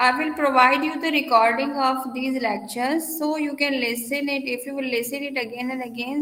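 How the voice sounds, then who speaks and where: Projecting a raised voice over audible room echo, a woman with a high pitch speaks at a moderate pace in fairly even intonation. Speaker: university lecturer. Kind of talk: lecture.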